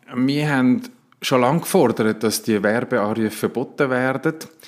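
Here is a man with an ordinary speaking voice at medium pitch. He talks at a fairly slow pace. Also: very even loudness. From Switzerland, near Winterthur (Zurich canton), Sicilian roots. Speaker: politician and family doctor. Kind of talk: interview.

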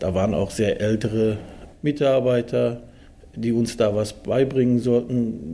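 A man speaks in a dark, mellow tone at medium pitch. His pace is fairly slow and his intonation fairly even. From Germany (Dortmund), came from Turkey at six. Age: 40s. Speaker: steelworker and works council chairman. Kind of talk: interview.

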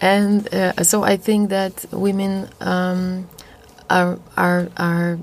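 The speaker has a Polish accent and a very slow pace. The intonation is monotone and flat, and the loudness stays very even. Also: woman, medium pitch for a woman. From Poland. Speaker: jazz singer. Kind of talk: interview. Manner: halting.

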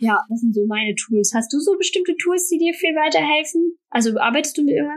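A woman talks at a fairly quick pace in a high-pitched voice, with lively intonation and hardly any pauses. Her loudness stays very even throughout. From Rhineland, Germany (Bornheim near Bonn). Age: 20s. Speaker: freelance designer and influencer. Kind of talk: casual interview.

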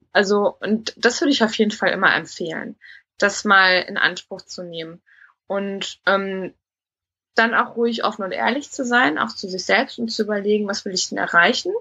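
A plain, everyday voice from a woman of medium pitch at a moderate pace, with ordinary pitch variation and big swings in loudness. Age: 30s. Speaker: recruitment consultant, coaching client. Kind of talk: interview testimony.

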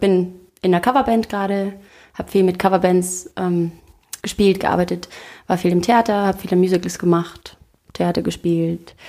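Here a woman talks at a moderate pace, with long, frequent pauses. Her medium-pitched voice is dark and mellow, with fairly even intonation. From Austria. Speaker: singer and actress. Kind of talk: interview. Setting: living room.

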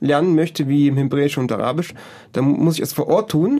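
At a moderate pace, a man talks in an ordinary speaking voice with a fairly high pitch. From Germany. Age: 20s. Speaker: project volunteer. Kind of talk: interview.

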